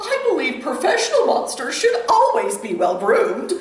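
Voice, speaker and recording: An extremely high, put-on character voice comes at a moderate pace with a clear echo. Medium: read story. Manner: prim, refined.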